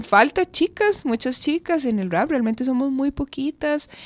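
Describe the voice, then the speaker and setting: A woman with a high pitch and lively intonation speaks at a moderate pace, the sound dry and close with no echo. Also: very clean recording, silent background. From Costa Rica, Curridabat. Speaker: rapper. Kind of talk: radio interview. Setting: radio studio.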